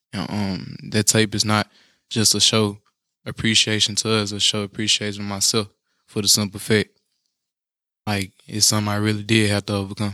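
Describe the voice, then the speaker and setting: The voice has a bright, sharp tone at a fairly quick pace. Its intonation is monotone and flat. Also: man. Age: 20s. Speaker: singer-songwriter. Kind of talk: casual interview. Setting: studio. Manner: polite, says sir.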